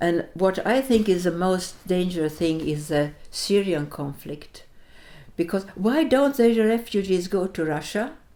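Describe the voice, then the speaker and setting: A woman's medium-pitched voice with a Latvian accent, dark and mellow in tone, fairly slow, with lively intonation. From Sweden (born in Latvia, fled as a child). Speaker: interviewee, wartime refugee. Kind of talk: interview. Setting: Riga. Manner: halting.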